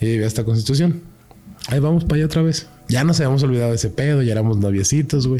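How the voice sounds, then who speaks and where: A man with a Mexican accent talks very fast at a medium pitch, with ordinary pitch variation. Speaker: paranormal experiencer. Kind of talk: casual chat. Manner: animated.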